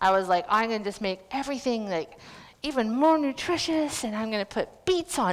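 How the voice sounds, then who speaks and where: A woman with a Canadian accent talks at a fairly quick pace in a plain, everyday voice with lively intonation. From western Canada, North Vancouver. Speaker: cooking demonstrator. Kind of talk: live cooking demonstration.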